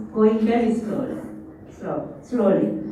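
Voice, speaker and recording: Noticeable background noise and audible room echo around a woman's fairly high pitch. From South Korea. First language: Korean. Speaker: professor. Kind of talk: conference presentation. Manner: halting, many fillers.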